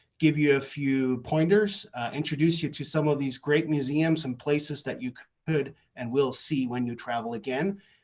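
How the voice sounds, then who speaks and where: Moderate pace with a German accent and fairly even intonation. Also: man. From East Germany. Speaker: course instructor. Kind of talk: course presentation. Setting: video call from basement.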